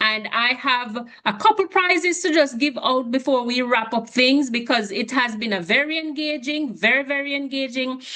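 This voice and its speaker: A woman's high-pitched voice with lively intonation, set against noticeable background noise. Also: moderate pace. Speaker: webinar moderator. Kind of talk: online session moderation.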